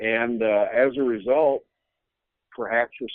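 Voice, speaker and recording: A man's medium-pitched voice with an American accent and ordinary pitch variation. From United States. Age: 60s. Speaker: bible prophecy teacher. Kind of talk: interview. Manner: halting.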